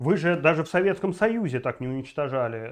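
Lively intonation and an animated tone carry the speech at a moderate pace. Behind it, the background stays quiet. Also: man. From Belarus. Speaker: political video blogger. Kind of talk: political commentary monologue; political commentary vlog. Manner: animated, with many filler sounds. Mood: indignant, outraged. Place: home room. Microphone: lapel.

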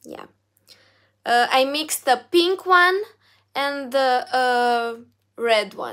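With a Romanian accent, a woman speaks very slowly in a high, bright, sharp voice, her lively intonation and big swings in loudness broken by long, frequent pauses over a quiet background. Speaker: singer and YouTuber; YouTuber. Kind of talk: live stream Q&A reading chat. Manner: halting, many fillers. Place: home room. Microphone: phone near.

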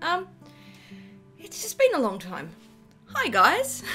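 A woman with an Australian accent, music in the background. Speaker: artist. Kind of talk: casual talk to camera. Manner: unscripted, with stammers and ums.

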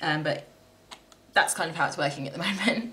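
Noticeable background noise sits under a woman speaking at a medium pitch. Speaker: crafter vlogger. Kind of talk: casual vlog, craft tutorial. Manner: chatty, informal.

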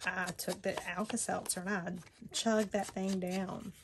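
Over loud background noise, a woman talks at a medium pitch. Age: 40s. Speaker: crafting YouTuber. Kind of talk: personal storytelling; crafting tutorial. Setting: home craft table, on camera. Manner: casual, hesitant with many fillers. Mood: reflective personal story.

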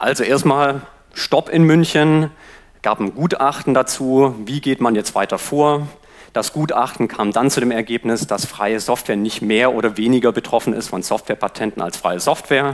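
This man has an unremarkable speaking voice at medium pitch and talks at a moderate pace. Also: ordinary pitch variation, quiet background. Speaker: free software advocate. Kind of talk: conference talk. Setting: stage with audience. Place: classroom. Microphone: headset.

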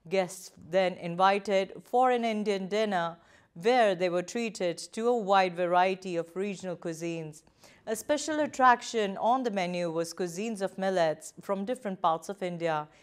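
The background is quiet as a woman speaks at a moderate pace. Her pitch variation is ordinary. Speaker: news presenter. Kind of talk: news reading. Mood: calm, formal. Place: studio.

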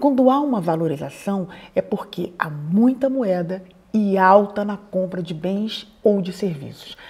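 At a fairly slow pace, a woman with a medium-pitched voice speaks with lively intonation. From Brazil. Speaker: YouTuber advising emigrants. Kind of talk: explainer to camera.

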